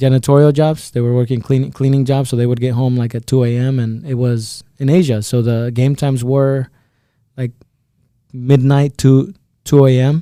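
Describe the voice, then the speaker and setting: A man talks at a moderate pace with a Spanish accent. His medium-pitched voice has a dark, mellow tone. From El Salvador, San Salvador; moved to Iowa at about 10. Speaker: insurance agent. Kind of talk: podcast interview. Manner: halting, repeats words.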